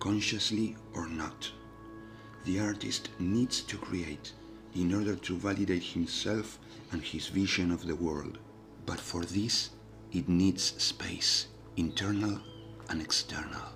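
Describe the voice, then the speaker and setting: Whispering at a very slow pace with long, frequent pauses, music in the background. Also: man. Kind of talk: ASMR reflective narration. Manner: whispered.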